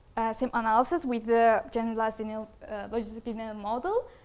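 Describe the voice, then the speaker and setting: A woman's voice is heard. It sits at a high pitch. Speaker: master's student presenting research. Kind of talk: academic presentation. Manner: fast; hesitant, many fillers.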